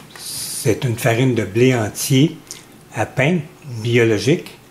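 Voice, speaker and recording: Noticeable background noise runs under the recording. A man with a medium pitch talks at a fairly slow pace. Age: 70s. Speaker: home cook. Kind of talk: tutorial. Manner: measured, with frequent hesitations.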